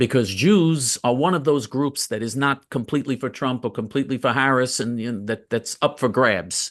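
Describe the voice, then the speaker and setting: A man with an American accent and an unremarkable speaking voice, medium pitch, lively intonation, moderate pace, quiet background. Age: 60s. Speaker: political commentator. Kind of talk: interview.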